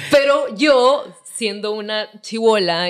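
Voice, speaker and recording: Behind the voice, the background stays quiet. The delivery is very slow. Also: woman. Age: 20s. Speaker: singer; podcast guest. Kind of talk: casual chat. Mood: relaxed, candid. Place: home room. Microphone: studio mic.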